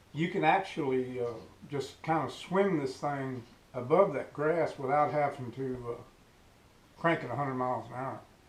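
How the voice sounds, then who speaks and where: A man speaks at a fairly slow pace in a fairly high pitch. His pitch varies in an ordinary way, and the room echo is audible. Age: 60s. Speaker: fishing YouTuber. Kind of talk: casual tutorial. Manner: hesitant, many filler words.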